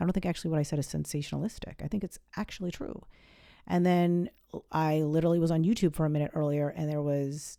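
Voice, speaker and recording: A woman's very deep, low voice in an American accent, dark and mellow, at a fairly quick pace with ordinary pitch variation, on a very clean recording with a silent background. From New England. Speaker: astrologer podcast host. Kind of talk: casual monologue. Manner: very fast; animated.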